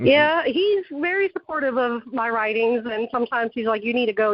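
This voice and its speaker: The voice carries a Southern accent. Its intonation is lively. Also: woman. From Texas, then South Carolina from about age ten. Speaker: author. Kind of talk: casual interview chat.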